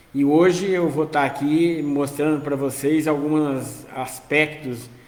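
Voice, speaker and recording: A man at a very slow pace, monotone and flat, with audible room echo. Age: 60s. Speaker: social worker, finance educator. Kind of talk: live-stream talk. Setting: outdoors on home balcony.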